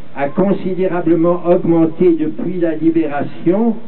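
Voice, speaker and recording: Over noticeable background noise, a man with a high voice speaks at a very slow pace. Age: 80s+. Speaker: former French Resistance member and diplomat. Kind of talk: public speech reading a manifesto. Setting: outdoors. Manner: spoken with conviction.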